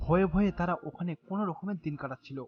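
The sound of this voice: Talking at a fast pace, a woman uses a fairly low pitch with ordinary pitch variation.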